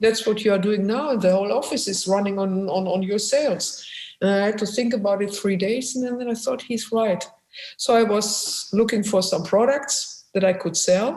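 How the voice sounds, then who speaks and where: Audible room echo surrounds a woman who speaks with a German accent and ordinary pitch variation. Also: medium pitch for a woman, moderate pace. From Germany, Essen (industrial Ruhr area). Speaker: musician and photographer, former businesswoman. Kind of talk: interview. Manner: halting.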